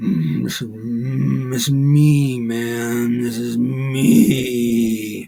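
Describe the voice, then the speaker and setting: The put-on character voice is guttural, at a low-to-middle pitch, delivered at a very slow pace with hardly any pauses. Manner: eerie, growling.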